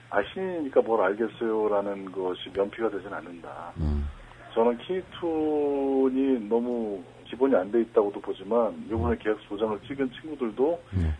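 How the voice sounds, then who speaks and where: Over noticeable background noise, a man at medium pitch speaks at a fairly slow pace with very wide pitch swings. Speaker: cartoonist. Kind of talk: interview.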